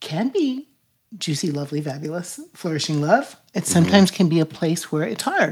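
A somewhat breathy woman with an American accent, fairly low in pitch, at a moderate pace, on a very clean recording with a silent background. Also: lively intonation. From United States, military family. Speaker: podcast host. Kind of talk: casual interview chat; show introduction.

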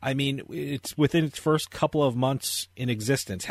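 A man with an American accent and a plain, everyday voice speaks at a fairly quick pace and fairly high pitch. The sound is dry and close, with no echo. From New Jersey. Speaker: radio host. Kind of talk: casual interview chat; infomercial ad read. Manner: fast, punchy, salesy.

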